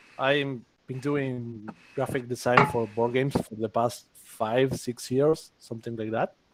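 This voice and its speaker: Monotone, flat intonation and a fairly slow pace mark this voice with an Argentine accent. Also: man, medium pitch for a man. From Argentina. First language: Spanish. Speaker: graphic designer. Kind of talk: casual livestream chat.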